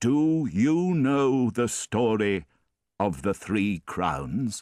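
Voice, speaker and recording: In a very clean recording with a silent background, a man uses a put-on character voice at medium pitch, very slowly, with very wide pitch swings. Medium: read story. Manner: solemn, mysterious.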